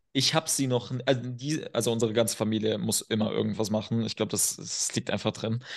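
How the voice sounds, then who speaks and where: Rushing at a very fast pace with hardly any pauses, a man talks with vocal fry. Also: medium pitch for a man. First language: not German (speaking German). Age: 20s. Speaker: performance and men's coach. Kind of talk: podcast interview. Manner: animated.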